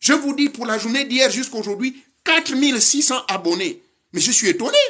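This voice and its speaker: An animated man speaks in a raised, projected voice at an extremely high pitch. His bright, sharp tone moves along at a fairly quick pace with lively intonation. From Gabon. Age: 60s. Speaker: spiritual teacher. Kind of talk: lecture.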